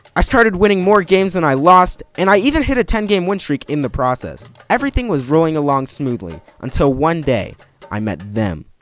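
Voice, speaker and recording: With music in the background, a man talks at a fairly quick pace in a fairly high pitch, making very wide pitch swings. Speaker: gaming YouTuber. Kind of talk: scripted narration.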